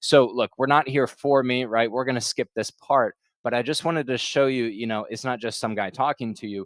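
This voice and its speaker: A man speaks at a fairly quick pace in a dry, close recording with no echo. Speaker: consulting interview coach. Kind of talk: webinar presentation. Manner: fast.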